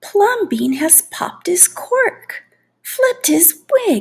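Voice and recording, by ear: In a put-on character voice, the speaker goes at a very slow pace with big pitch swings and vocal fry. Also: woman, extremely high pitch for a woman.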